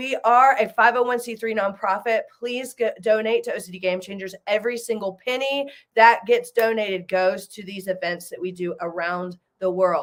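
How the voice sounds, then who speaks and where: A woman with a Southern US accent, fairly high-pitched, at a moderate pace, with ordinary pitch variation and big swings in loudness. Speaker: nonprofit founder and event host. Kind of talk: live video event chat.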